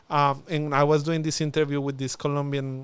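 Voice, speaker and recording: A man speaks with a strong Spanish accent and fairly even intonation at a fairly high pitch. The recording is very clean with a silent background. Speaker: former international student, youth policy officer. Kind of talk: casual podcast interview. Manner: halting, many fillers.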